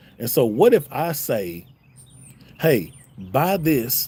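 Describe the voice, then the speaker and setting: Somewhat breathy and in a Southern US accent, the voice swings very widely in pitch. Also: man. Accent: southern drawl. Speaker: YouTube reaction streamer. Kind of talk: live stream chat.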